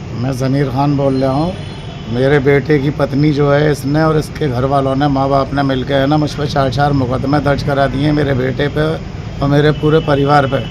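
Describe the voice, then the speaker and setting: A man's fairly high, monotone, flat voice at a moderate pace and very even loudness, with noticeable background noise and audible room echo. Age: 60s. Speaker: father-in-law in family dispute. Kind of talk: interview with reporter.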